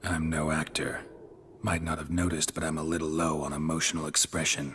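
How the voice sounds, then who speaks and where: This man puts on a character voice with a very deep, low pitch. He delivers it at a fairly quick pace with monotone, flat intonation. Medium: video game. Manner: terse, flat, low on emotion.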